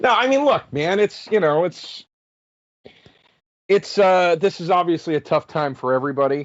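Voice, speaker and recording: In a Philadelphia accent, a man speaks with very wide pitch swings. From Philadelphia area, Pennsylvania. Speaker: comedian. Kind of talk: casual chat. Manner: halting.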